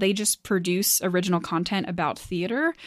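A woman with a normal speaking voice talks at a medium pitch and moderate pace in a very clean recording with a silent background. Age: 20s. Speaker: podcast host. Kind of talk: casual chat. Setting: home office.

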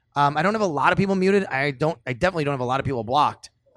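Talking at a very fast pace, a man with a Buffalo accent uses ordinary pitch variation. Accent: Western New York (Buffalo) American. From Buffalo, New York (Cheektowaga). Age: 30s. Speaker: sports radio host. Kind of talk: casual chat. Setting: pizza pub, recorded on location.

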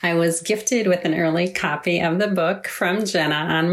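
A woman with a fairly low pitch talks at a moderate pace and with fairly even intonation over noticeable background noise. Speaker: author's mother. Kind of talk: recorded book review.

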